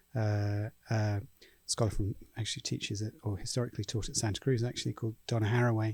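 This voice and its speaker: Over a silent background in a very clean recording, a man with a relaxed, dark, mellow tone and a somewhat breathy, medium-pitched voice talks at a fairly quick pace in a flat monotone. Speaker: film professor. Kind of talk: casual chat. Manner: halting.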